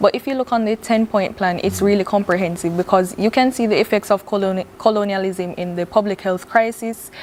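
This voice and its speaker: With a Jamaican accent, a woman of medium pitch talks at a fairly quick pace with hardly any pauses and fairly even intonation, over noticeable background noise. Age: young. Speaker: visual artist. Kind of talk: TV interview.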